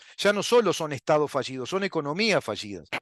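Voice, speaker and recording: A man with a Uruguayan accent speaks at a fairly high pitch with lively intonation, his voice dry and close with no echo over a quiet background. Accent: Rioplatense Spanish (Uruguayan). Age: 60s. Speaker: political commentary show host. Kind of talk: political monologue. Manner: animated.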